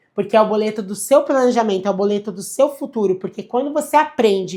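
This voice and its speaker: A woman speaks in an animated tone at a moderate pace. Her pitch is fairly high, with ordinary pitch variation. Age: 30s. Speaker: financial advisor. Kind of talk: livestream lecture.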